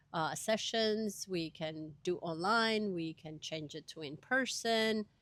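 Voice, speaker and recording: Very slowly, a woman with a fairly low pitch speaks with ordinary pitch variation and big swings in loudness. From Venezuela (Caracas). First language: Spanish. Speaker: education coordinator and language teacher. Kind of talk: interview.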